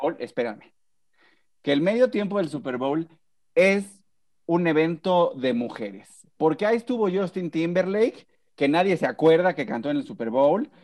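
With very wide pitch swings and a high pitch, a man speaks at a moderate pace, leaving long, frequent pauses. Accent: Mexican. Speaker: podcast host. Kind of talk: casual chat.

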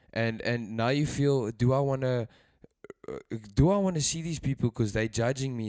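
Here is a man with a normal speaking voice. His pace is moderate and his pitch variation ordinary. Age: 20s. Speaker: churchgoer suggesting a topic. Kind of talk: casual faith discussion.

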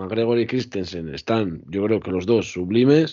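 A man talks in an ordinary speaking voice at a medium pitch. His pace is moderate and his pitch varies in an ordinary way. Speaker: podcast co-host. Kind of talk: casual chat.

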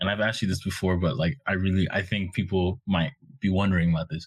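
A man's fairly low, somewhat breathy voice comes through on a very clean recording with a silent background. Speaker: podcast host. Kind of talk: casual interview chat.

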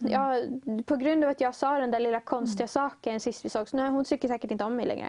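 This woman talks at a very fast pace with a high pitch, a dark, mellow tone, fairly even intonation and very even loudness. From Uppsala, Sweden. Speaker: student guest. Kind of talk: interview, personal testimony.

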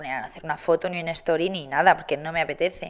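On a very clean recording with a silent background, a woman speaks at a very fast pace in a fairly low pitch. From Spain, Barcelona and Madrid. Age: 20s. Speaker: TV presenter and content creator. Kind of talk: casual interview.

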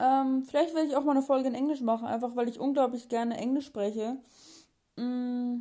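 A woman's high-pitched voice with a dark, mellow tone, monotone, flat intonation and a fairly quick pace. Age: young. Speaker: podcast host. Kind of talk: casual monologue. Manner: halting, many fillers.

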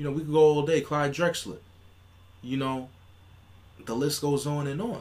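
A man at a fairly high pitch and moderate pace, with ordinary pitch variation and long, frequent pauses. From New York City. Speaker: podcast co-host. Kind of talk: casual chat.

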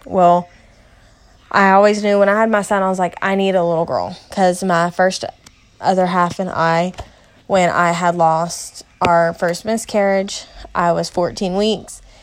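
Speaking fairly slowly, a woman with a Kentucky accent keeps a medium pitch and a flat, monotone delivery. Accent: Southern US (Kentucky). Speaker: mother and home daycare provider podcaster. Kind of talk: casual personal monologue. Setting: at home, sitting in a recliner in the playroom.

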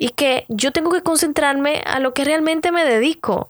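Moderate-paced speech with a dry, close sound, no echo, in a very clean recording with a silent background. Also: woman. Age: 30s. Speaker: podcast host and beauty vlogger. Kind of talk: casual motivational monologue.

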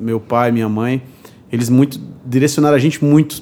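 Moderate tempo and ordinary pitch variation from a man at a medium pitch. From Brazil, Paraíba (Cariri, Juazeirinho). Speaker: bartender. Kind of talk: interview.

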